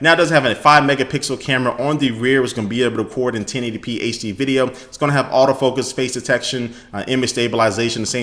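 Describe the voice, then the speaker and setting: A man talks at a very fast pace in an animated tone with ordinary pitch variation. Noticeable background noise runs underneath. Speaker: tech YouTuber. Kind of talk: product news recap. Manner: casual, animated.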